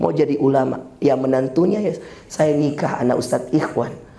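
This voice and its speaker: Speaking at a very fast pace and medium pitch with ordinary pitch variation, a man is heard through audible room echo and noticeable background noise. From Makassar, South Sulawesi, Indonesia. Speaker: Islamic preacher. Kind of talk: sermon. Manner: animated.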